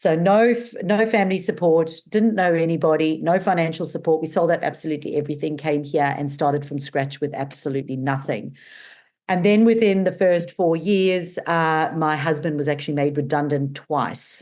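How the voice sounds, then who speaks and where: Talking at a moderate pace, a woman has a very deep, low pitch. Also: ordinary pitch variation. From South Africa. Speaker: marketing business owner. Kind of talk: podcast interview. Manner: animated.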